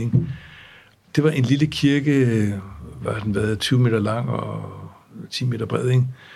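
A man with a medium pitch and a somewhat breathy voice talks at a fairly slow pace with fairly even intonation. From grew up abroad in various countries (diplomat's child). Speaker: law professor and former international judge. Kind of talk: interview, relaxed academic conversation. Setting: studio.

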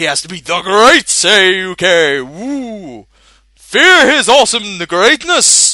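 A put-on character voice, raised and projected, moves at a very slow pace with very wide pitch swings. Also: man, high pitch for a man. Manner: boisterous, booming.

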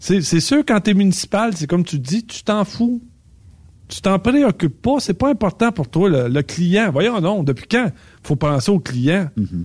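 In a very clean recording over a silent background, a man with a high voice speaks at a fairly slow pace, his pitch swinging very widely. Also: dry, close sound with no echo. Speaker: trucking recruiter and driving coach. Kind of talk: casual chat.

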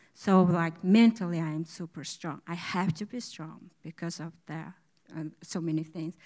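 On a very clean recording with a silent background, a woman talks with fairly even intonation and big swings in loudness. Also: fairly low pitch for a woman, moderate pace. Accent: Mongolian. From Mongolia. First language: Mongolian. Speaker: church member. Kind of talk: testimony. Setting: church service with congregation. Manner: halting.

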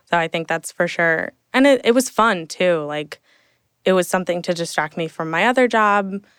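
A woman with an ordinary speaking voice talks at a moderate pace and a fairly low pitch, her intonation lively, in dry, close sound with no echo on a very clean recording with a silent background. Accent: American. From central New Jersey, Hunterdon County. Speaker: social media coordinator. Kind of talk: casual interview. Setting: studio, in person.

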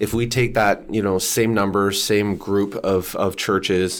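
A man's fairly low voice with a Canadian accent, monotone and flat in intonation, at a moderate pace on a very clean recording with a silent background. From Canada. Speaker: church researcher and author. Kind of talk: casual interview chat.

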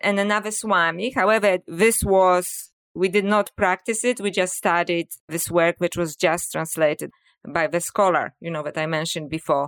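A woman with a Polish accent at a moderate pace, in a very clean recording with a silent background and a dry, close sound with no echo. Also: fairly low pitch for a woman, ordinary pitch variation. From Poland. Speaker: author and scholar. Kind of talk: interview conversation.

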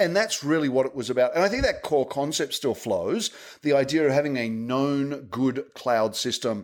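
A man with an ordinary speaking voice, fairly high-pitched, at a moderate pace with ordinary pitch variation, on a very clean recording with a silent background. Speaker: tech advocate at software company. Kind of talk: casual interview chat.

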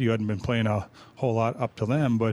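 With a plain, everyday voice at a medium pitch, a man talks at a fairly quick pace. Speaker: radio analyst. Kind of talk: post-game chat. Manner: casual, conversational.

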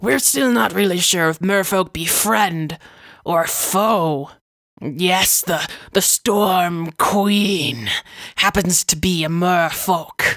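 A woman speaks in a raspy voice. Her pace is very slow. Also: medium pitch for a woman. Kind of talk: fantasy podcast recap narration. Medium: actual play. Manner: wry, musing.

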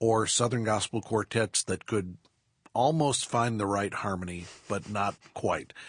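Against a quiet background, a man speaks in a plain, everyday voice at a fairly slow pace. His pitch is fairly low with ordinary variation, and the sound is dry and close with no echo. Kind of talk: casual interview. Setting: studio.

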